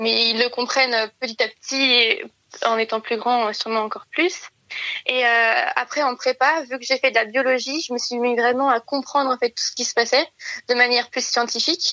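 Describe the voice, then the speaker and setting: Her high pitch and bright, sharp tone carry fairly even intonation as this woman talks at a moderate pace, in a dry, close sound with no echo. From rural France. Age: 20s. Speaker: engineering student. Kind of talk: interview testimony. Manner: hesitant, many filler sounds.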